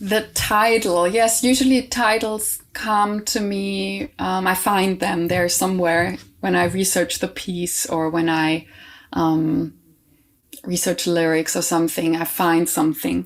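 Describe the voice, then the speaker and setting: A woman with a non-native accent speaks at a fairly low pitch and a fairly slow pace. Her pitch varies in an ordinary way, and the recording is very clean with a silent background. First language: not English. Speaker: composer and choir director. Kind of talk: interview conversation. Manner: halting, many fillers and restarts.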